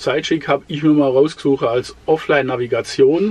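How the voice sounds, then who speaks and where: At a moderate pace, a man is speaking. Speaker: travel vlogger. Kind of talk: tutorial. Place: home room.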